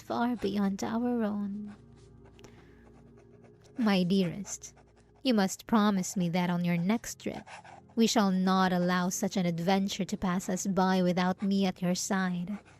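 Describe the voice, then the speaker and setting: A soft-spoken woman at a medium pitch, talking at a very slow pace with fairly even intonation, music in the background. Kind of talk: period-style romantic letter read aloud. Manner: soft, affectionate, intimate.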